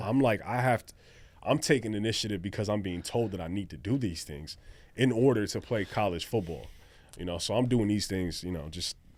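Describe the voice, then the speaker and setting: In a very clean recording with a silent background, a man with an American accent and an unremarkable speaking voice talks at a fairly quick pace, his fairly low pitch showing ordinary variation. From Pomona, California. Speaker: former college football player, recording artist. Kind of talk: interview answer. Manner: casual, laid-back.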